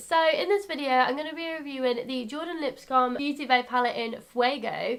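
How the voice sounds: Her high pitch comes with ordinary pitch variation as the woman speaks at a moderate pace.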